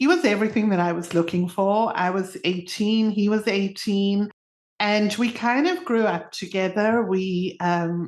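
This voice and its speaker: A woman with a medium pitch speaks at a fairly slow pace with fairly even intonation. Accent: South African. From South Africa. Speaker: podcast co-host. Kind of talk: casual chat. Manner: talkative.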